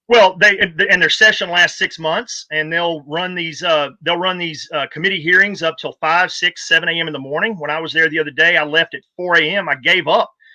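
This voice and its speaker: The speaker talks at a fairly quick pace with hardly any pauses, in a Texan accent. The intonation stays fairly even. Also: man, high pitch for a man. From Texas. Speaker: political party volunteer and activist. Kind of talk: casual interview.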